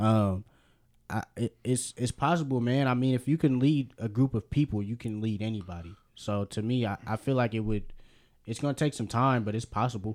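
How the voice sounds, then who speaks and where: An ordinary speaking voice from a man with an American accent, medium pitch and ordinary pitch variation, dry and close with no echo. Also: moderate pace, very clean recording, silent background. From Berkeley, California. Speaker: sports podcast co-host. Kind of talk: casual chat.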